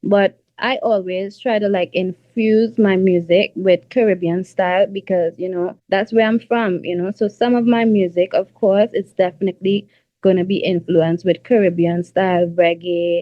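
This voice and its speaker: A woman's medium-pitched voice at a moderate pace, with fairly even intonation and hardly any pauses. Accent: Trinidadian. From Trinidad. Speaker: R&B singer. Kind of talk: interview. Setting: radio show interview. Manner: casual, filler-heavy.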